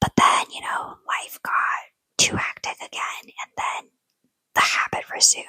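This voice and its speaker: A whisper, fairly slow in pace. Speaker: ASMR storyteller. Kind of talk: whispered ASMR personal story to camera. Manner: whispered, soft.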